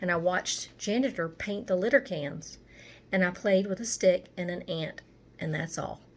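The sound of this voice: Pitch varies in an ordinary manner as an unforced reading voice reads.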